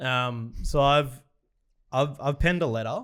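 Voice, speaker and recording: A man with an Australian accent, captured on a very clean recording with a silent background. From Australia, Victoria (Morwell). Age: 30s. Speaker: sports podcast host. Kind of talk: reading aloud.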